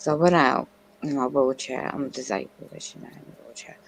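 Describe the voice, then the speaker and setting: Noticeable background noise sits behind a man's voice. He speaks at a moderate pace with a medium pitch. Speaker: stream viewer guest. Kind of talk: casual chat. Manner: halting.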